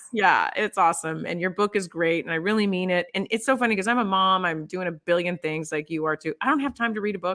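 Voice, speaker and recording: A woman with a bright, sharp tone talks at a very fast pace and a medium pitch, with ordinary pitch variation and hardly any pauses. The very clean recording has a silent background and a dry, close sound with no echo. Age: 50s. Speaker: TV host. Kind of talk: casual chat. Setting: live stream.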